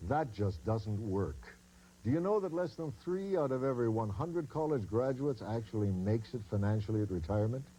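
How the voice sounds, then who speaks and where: A man speaks at a moderate pace in a dark, mellow tone that is somewhat breathy. His pitch swings very widely. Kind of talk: expert interview soundbite in an infomercial.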